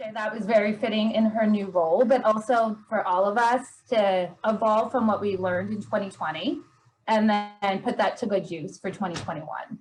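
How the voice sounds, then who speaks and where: A woman with a fairly high pitch and ordinary pitch variation talks at a moderate pace, her voice somewhat breathy. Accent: American. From Pennsylvania. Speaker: event moderator. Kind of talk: casual chat. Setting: video call.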